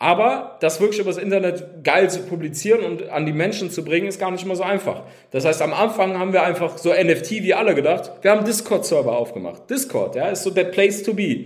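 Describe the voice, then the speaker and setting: The speech runs with hardly any pauses and ordinary pitch variation. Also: man, high pitch for a man, fairly quick pace. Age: 30s. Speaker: game company founder. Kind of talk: interview.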